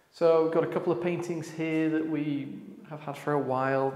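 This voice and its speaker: There is audible room echo as a man speaks with monotone, flat intonation. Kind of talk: casual vlog chat. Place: hall. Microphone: lapel.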